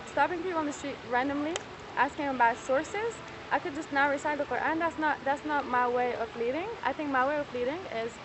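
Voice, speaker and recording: The speech races along at a very fast pace. There is noticeable noise in the background. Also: woman, high pitch for a woman, ordinary pitch variation. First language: not English. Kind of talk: heated debate. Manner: halting.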